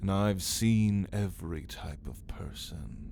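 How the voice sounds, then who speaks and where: A man puts on a character voice with a theatrical tone, very deep and low in pitch, speaking at a very slow pace over clear background noise. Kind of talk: ASMR roleplay. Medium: audio drama. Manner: languid, mocking, theatrical.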